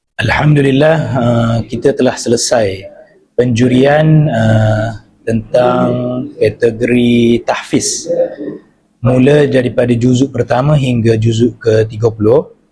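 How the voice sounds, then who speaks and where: Speaking at a very slow pace, a man keeps a medium pitch, very even loudness and fairly even intonation. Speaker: competition judge and teacher. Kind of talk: interview. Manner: halting with many fillers.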